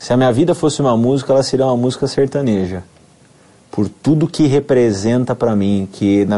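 A man's medium-pitched voice at a moderate pace, dark and mellow in tone, with ordinary pitch variation. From São Paulo state interior (Amparo, near Campinas), Brazil. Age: 30s. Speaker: dentist turned network marketer. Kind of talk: testimony.

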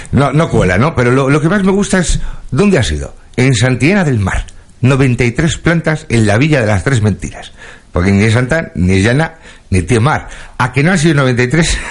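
Speaking at a moderate pace, a somewhat breathy man at medium pitch makes very wide pitch swings while his loudness stays very even. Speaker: radio comedy host. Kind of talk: comedic radio show. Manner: animated.

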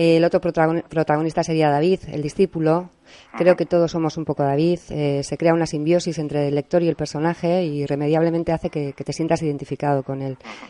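Very deep and low in pitch, a woman speaks fairly quickly in a dark, mellow tone with monotone, flat intonation. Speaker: radio host. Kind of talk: interview. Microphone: voice too quiet for guest.

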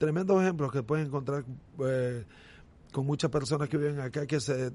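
This man talks at a fairly quick pace in a fairly high pitch, his dark, mellow tone carried on fairly even intonation. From Nicaragua, Estelí. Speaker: former baseball pitcher. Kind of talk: casual interview.

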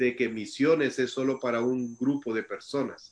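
At a moderate pace, a man of medium pitch speaks in an ordinary speaking voice. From El Salvador. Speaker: missionary. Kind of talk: testimony. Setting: video call.

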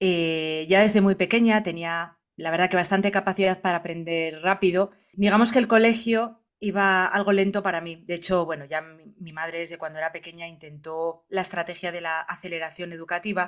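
A woman speaks at a fairly low pitch and a fairly quick pace, a normal speaking voice with fairly even intonation, hardly any pauses and big swings in loudness. The recording is very clean, with a silent background. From Spain, Asturias (Gijón). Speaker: entrepreneur, leadership consultant and author. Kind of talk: interview.

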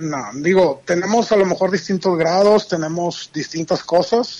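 A man's high voice at a fairly slow pace, with ordinary pitch variation. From Monterrey, Mexico. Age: 40s. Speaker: podcast guest, pilgrimage traveller. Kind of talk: casual chat.

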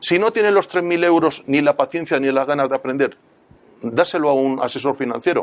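A man speaks in an unremarkable speaking voice at a fairly quick pace and fairly high pitch, with ordinary pitch variation and very even loudness. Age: 60s. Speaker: private investor. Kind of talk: talk to live audience.

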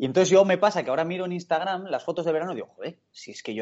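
Very fast and high-pitched, a man rattles through his words. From Spain, El Bierzo (León). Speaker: professional footballer. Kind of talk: casual interview chat. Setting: video call.

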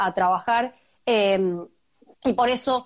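A woman with an Argentine accent. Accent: Argentine Spanish (voseo). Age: 30s. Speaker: human rights activist and foundation director. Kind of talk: interview. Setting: video call.

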